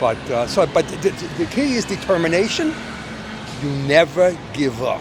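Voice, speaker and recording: Over noticeable background noise, a man with a New York accent speaks high and lively at a moderate pace. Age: 70s. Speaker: retired stock trader. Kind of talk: street interview. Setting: outdoors on a street.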